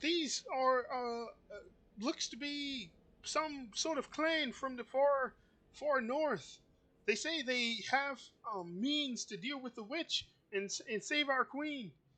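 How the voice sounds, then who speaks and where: A put-on character voice with a high, creaky sound. It moves at a fairly slow pace. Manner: earnest, reporting.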